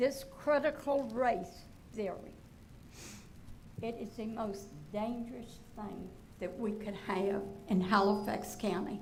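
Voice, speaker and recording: Speech comes at a very slow pace with long, frequent pauses and ordinary pitch variation, set against audible room echo and noticeable background noise. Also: woman, fairly high pitch for a woman. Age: 80s+. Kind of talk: public comment at a school board meeting. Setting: school board meeting room.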